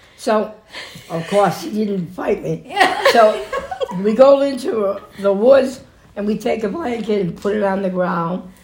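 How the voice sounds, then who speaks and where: A woman's medium-pitched voice at a fairly slow pace, with long, frequent pauses, ordinary pitch variation and noticeable background noise. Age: 70s. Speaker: grandmother being interviewed by family. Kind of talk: casual family interview. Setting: recorded at home with family. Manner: halting, rambling.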